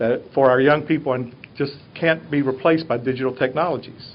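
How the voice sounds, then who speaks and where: The voice belongs to a man with a Southern US accent. He talks fairly quickly. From US South. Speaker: teacher. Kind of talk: presentation to a board.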